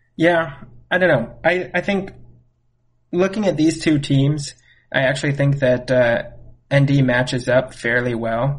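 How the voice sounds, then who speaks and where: Pausing long and often, a somewhat breathy man talks at a fairly slow pace with ordinary pitch variation. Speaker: guest co-host, friend of host. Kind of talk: casual sports chat.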